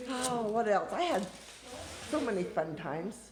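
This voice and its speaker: A woman's lively intonation at a fairly slow pace, with audible room echo and noticeable background noise. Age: 60s. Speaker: family member interviewee. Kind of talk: casual family interview.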